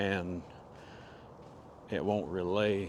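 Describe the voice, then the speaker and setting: A quiet man with a fairly low pitch in a Southern US accent. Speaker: vlogger. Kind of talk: casual vlog monologue. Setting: outdoors in the woods. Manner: quiet, hushed.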